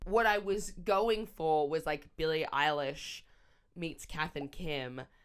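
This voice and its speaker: On a very clean recording with a silent background, a woman with a very deep, low pitch sounds animated, using ordinary pitch variation. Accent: Australian. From Australia. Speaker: comedian. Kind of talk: casual vlog. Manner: loud.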